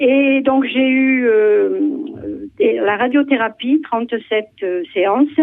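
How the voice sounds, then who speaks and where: Amid noticeable background noise, a woman with a high pitch and ordinary pitch variation speaks at a very slow pace. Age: 70s. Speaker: caller, breast cancer survivor. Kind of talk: testimony. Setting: phone call.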